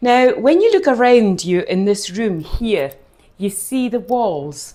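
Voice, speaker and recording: A woman with a Hebridean accent. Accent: Hebridean Scottish. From Scotland, Outer Hebrides (Scalpay, Harris). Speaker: distillery tour guide. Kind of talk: guided tasting talk. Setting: distillery tasting room. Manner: hesitant fillers (eh).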